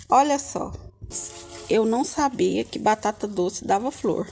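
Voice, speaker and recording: Over light background noise, a woman speaks at a fairly slow pace with very wide pitch swings. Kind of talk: casual vlog chat. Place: garden. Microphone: phone near.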